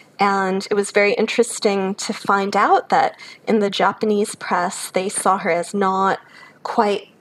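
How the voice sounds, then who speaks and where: An American-accented woman at medium pitch, fairly slow, with monotone, flat intonation. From US Midwest, Chicago. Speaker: academic, author. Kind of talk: interview.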